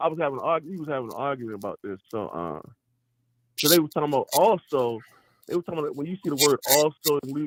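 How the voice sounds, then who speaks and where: Speaking at a very fast pace, a man has a fairly high pitch. His tone is animated and his intonation lively. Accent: Baltimore. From Baltimore, US. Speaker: podcast host. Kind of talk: casual debate about scripture.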